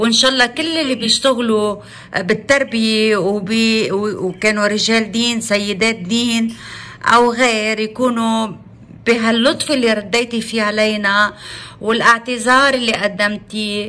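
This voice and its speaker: A woman with a Lebanese accent speaks at a fairly high pitch and a fairly slow pace in a bright, sharp tone, her intonation fairly even. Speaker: journalist, editor-in-chief. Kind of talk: interviewer on phone. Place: home room. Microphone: phone near.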